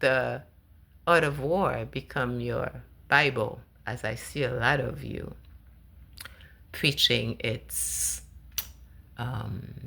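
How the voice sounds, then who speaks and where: Long, frequent pauses break up her speech. The woman talks at a very slow pace. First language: not English. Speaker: spiritual vlogger. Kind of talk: personal monologue. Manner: halting.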